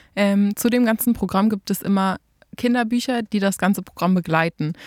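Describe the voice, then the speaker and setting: An unremarkable speaking voice, this woman's sits at medium pitch with fairly even intonation. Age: 20s. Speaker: dance teacher. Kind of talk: casual chat.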